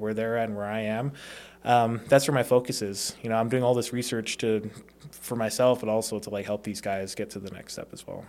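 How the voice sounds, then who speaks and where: A man's medium-pitched, monotone, flat delivery at a fairly quick pace, on a very clean recording with a silent background. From Las Vegas, Nevada (born in Hawaii). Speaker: door-to-door sales professional, former college football player. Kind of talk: casual interview.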